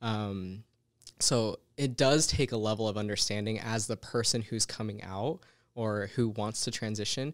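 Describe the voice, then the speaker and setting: An ordinary speaking voice from a man with an American accent, fairly low in pitch, moderate in pace and fairly even in intonation, on a very clean recording with a silent background. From Utah. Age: 20s. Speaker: Air Force airman. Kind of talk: casual interview.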